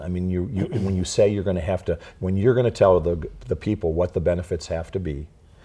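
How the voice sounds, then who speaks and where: A man's very deep, low, somewhat breathy voice at a fairly quick pace with ordinary pitch variation, on a very clean recording with a silent background. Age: 60s. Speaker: health insurance broker. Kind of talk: interview.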